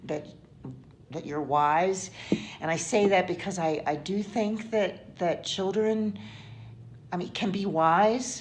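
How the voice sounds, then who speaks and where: A woman at a medium pitch and very slow pace, with ordinary pitch variation, long, frequent pauses, audible room echo and music in the background. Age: 60s. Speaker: interviewee. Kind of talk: interview. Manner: halting, many fillers and repetitions.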